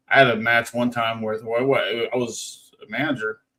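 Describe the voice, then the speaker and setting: The man's voice sits at a medium pitch and stays monotone and flat in intonation. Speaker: podcaster and former wrestling manager. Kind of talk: casual chat. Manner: halting, many repeated words.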